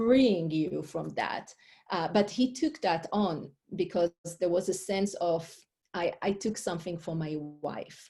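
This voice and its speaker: A woman with an Israeli accent speaks very slowly at a medium pitch, somewhat breathy and with a dark, mellow tone. Her pitch varies in an ordinary way, on a very clean recording with a silent background. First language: Hebrew. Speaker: life coach and author. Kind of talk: interview. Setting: podcast interview.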